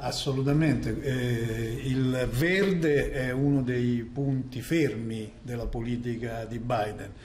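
A man talks very slowly with hardly any pauses and ordinary pitch variation. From Italy. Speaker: journalist. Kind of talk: live news analysis. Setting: video link. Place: studio. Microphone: connection problems; lapel.

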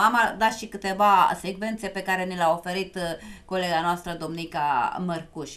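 A woman talks at a moderate pace over light background noise. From Romania. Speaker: TV talk show host. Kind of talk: live TV talk show. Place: studio.

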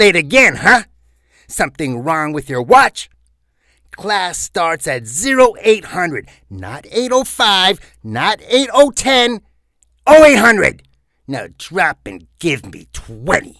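A put-on character voice swings very widely in pitch and greatly in loudness, with long, frequent pauses. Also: man, high pitch for a man, fairly slow pace. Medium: voice reel. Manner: stern, barking.

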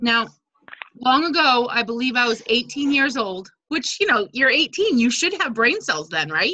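A woman speaks at a fairly slow pace in a high voice, her pitch swinging very widely while her loudness stays very even. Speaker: direct sales team leader. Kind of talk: casual team video meeting. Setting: video call. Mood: friendly, lightly humorous. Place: home room. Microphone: unstable wifi connection; video call.

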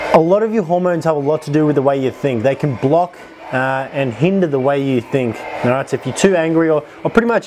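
Noticeable background noise behind a man talking at a fairly quick pace. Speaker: fitness vlogger. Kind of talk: casual vlog chat. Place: home room. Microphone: lapel.

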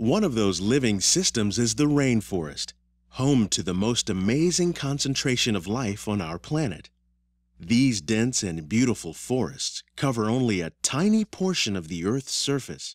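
A man speaks at a moderate pace with very wide pitch swings. The sound is dry with no echo, over a quiet background. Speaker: ride narrator. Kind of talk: scripted narration.

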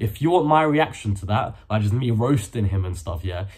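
Lively intonation and a somewhat breathy voice over a quiet background. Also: man. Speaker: youtuber. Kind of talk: casual vlog chat. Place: home room. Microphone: phone near.

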